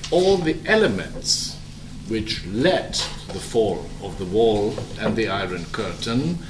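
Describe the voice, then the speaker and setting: A man with a German accent speaks at a very slow pace, his pitch swinging very widely. Audible room echo and noticeable background noise fill the recording. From Germany. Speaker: diplomat. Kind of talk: speech. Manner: halting.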